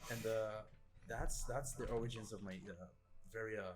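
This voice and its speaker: Amid audible room echo, a man with a non-native accent speaks fairly slowly in a fairly low pitch, his intonation fairly even. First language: not English. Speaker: gaming video editor. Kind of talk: casual podcast chat. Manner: hesitant, many fillers.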